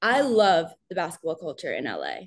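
Someone speaks with an American accent at a fairly slow pace. The background is quiet. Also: woman. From New York. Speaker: sports content creator. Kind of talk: casual interview.

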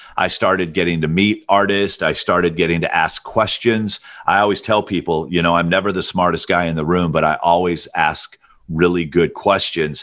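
With an American accent, a man speaks in an energetic tone at a moderate pace, his pitch very deep and low. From US South. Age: 50s. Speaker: music manager. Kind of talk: interview.

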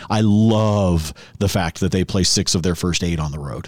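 With a very deep, low pitch and ordinary pitch variation, a man talks at a moderate pace in a very clean recording with a silent background. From Oregon. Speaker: sports podcast host and betting analyst. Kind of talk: casual sports talk radio chat. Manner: halting, many fillers.

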